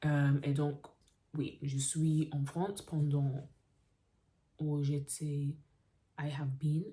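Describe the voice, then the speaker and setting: A woman speaks very slowly in a very deep, low pitch with a dark, mellow, somewhat breathy tone. Her intonation is monotone and flat, broken by long, frequent pauses. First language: English (speaking French). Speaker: vlogger, French learner. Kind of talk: casual vlog monologue. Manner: halting, with fillers and self-corrections.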